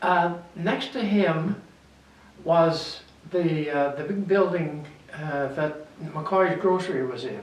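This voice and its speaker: A man speaks very slowly at a high pitch with ordinary pitch variation and long, frequent pauses. Noticeable background noise and audible room echo surround him. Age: 80s+. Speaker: local historian, retired druggist. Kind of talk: interview, reminiscing. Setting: library reading room. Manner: halting.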